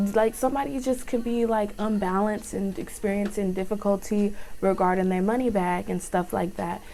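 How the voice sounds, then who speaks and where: With an American accent, a woman speaks in a fairly high pitch and a dark, mellow tone, with ordinary pitch variation. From Texas. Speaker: tarot reader. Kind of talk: tarot reading. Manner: normally slow-talking.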